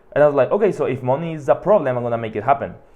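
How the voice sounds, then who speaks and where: A man with a Mexican accent. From Mexico, Hermosillo. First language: Spanish. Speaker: podcast host. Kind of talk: monologue. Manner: casual, filler-heavy.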